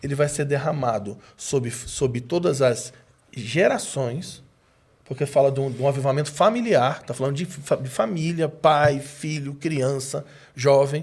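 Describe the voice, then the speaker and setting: A somewhat breathy man speaks at a fairly high pitch. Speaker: preacher. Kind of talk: casual chat.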